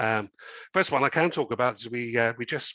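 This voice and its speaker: The tone is bright and sharp. The sound is dry and close with no echo, over a quiet background. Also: man. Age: 60s. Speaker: company chairman. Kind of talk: interview. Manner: hesitant, many fillers.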